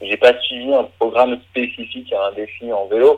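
This man has an unremarkable speaking voice at a medium pitch, delivered at a fairly slow pace with fairly even intonation. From Brittany, France. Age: 30s. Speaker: eco-adventurer. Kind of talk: interview.

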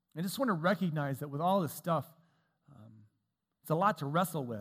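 The recording is very clean, with a silent background. A man with an ordinary speaking voice talks at a fairly quick pace, his fairly high pitch showing ordinary variation. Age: 40s. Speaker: preacher. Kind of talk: sermon.

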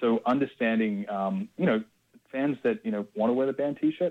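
A man in an Australian accent, dark and mellow in tone, with lively intonation at a moderate pace. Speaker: music label executive. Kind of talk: interview. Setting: phone call. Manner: halting, many fillers.

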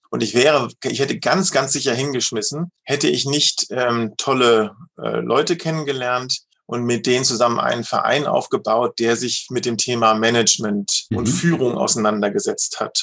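This man's voice has vocal fry and ordinary pitch variation. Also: medium pitch for a man, moderate pace. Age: 50s. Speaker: leadership coach and managing director. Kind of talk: interview.

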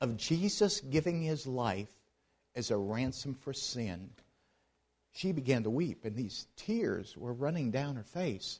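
In a plain, everyday voice with an American accent, a man speaks at a fairly slow pace, fairly high in pitch and with lively intonation, against a quiet background. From US, Pittsburgh, Pennsylvania. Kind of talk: missions presentation at a church.

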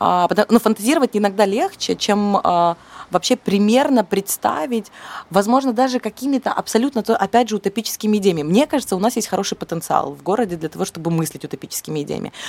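A woman talks at a very fast pace with lively intonation and a medium pitch. Her voice sounds dry and close, with no echo. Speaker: cultural manager and curator. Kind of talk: interview. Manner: hesitant, many fillers.

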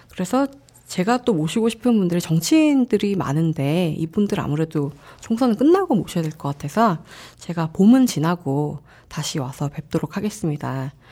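A woman speaks at a moderate pace in a playful, dark, mellow tone, somewhat breathy, her pitch swinging very widely. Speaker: podcast host. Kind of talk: casual interview chat. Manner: laughs often, playful.

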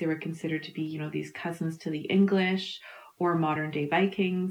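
Speaking at a fairly quick pace, this woman has a Canadian Prairie accent. Her intonation is monotone and flat. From Canada, Manitoba. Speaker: historian. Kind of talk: interview.

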